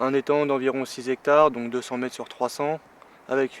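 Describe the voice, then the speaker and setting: At a fairly quick pace, a man talks at medium pitch in a flat, monotone way, the sound dry and close with no echo. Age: 20s. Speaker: carp angler. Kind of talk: casual explanation to camera. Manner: hesitant, many fillers.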